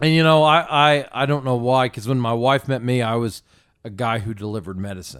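A man with an American accent and an unremarkable speaking voice, medium in pitch, fairly quick in pace, with ordinary pitch variation. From small-town Indiana, US Midwest. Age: 30s. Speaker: donut shop owner. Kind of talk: casual chat. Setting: studio.

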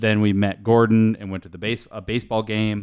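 A man with an American accent speaks in a fairly low, monotone voice with flat intonation on a very clean recording with a silent background. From US Pacific Northwest (Aberdeen, Washington). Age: 20s. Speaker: podcast guest, friend of host working in his company. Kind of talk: casual chat. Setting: studio with beer drinking.

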